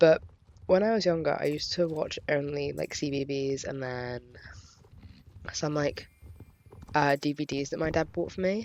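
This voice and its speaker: Moderate pace with long, frequent pauses, in an English accent. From England. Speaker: YouTuber. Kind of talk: casual vlog chat. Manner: hesitant, many fillers.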